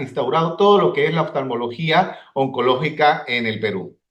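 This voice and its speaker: Audible room echo surrounds a man talking at a fairly slow pace in a fairly high pitch. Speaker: ophthalmologist. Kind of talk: conference lecture. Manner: halting.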